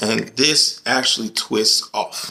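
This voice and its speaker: Male speech at a medium pitch with ordinary pitch variation. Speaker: contractor teaching tools. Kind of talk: tutorial. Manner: casual.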